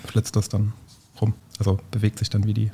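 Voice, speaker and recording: With a dark, mellow tone, a man speaks fairly quickly at a fairly low pitch, sounding somewhat breathy. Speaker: teacher and podcast host. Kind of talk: casual science chat.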